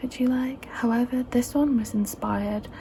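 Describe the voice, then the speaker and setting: A soft-spoken voice amid noticeable background noise. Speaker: ASMR creator. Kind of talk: ASMR fabric show-and-tell, casual talk to camera. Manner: soft-spoken, chatty.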